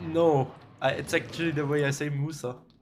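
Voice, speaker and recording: This man talks at a moderate pace with a fairly high pitch and a flat, monotone delivery. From Austria. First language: German. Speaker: video game speedrunner streamer. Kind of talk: live stream commentary. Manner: casual, talkative.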